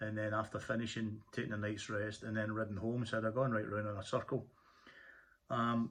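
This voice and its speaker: Speaking at a fairly quick pace, a man keeps a fairly low pitch and monotone, flat intonation. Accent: Scottish. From Scotland. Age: 50s. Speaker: motorcyclist vlogger. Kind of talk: casual tutorial monologue. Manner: halting, many fillers and repeats.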